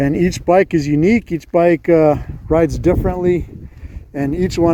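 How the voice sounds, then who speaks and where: A man with a fairly high voice speaks at a moderate pace with fairly even intonation over noticeable background noise. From New Mexico. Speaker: motorcycle vlogger, army veteran. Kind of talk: casual vlog monologue. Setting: outdoors on a motorcycle by a highway. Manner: hesitant, many filler uhs.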